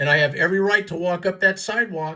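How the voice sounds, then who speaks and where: An animated voice speaks with an American accent. The recording is very clean, with a silent background. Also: man. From US West, East Los Angeles. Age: 70s. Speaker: activist video commentator. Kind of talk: commentary over own footage.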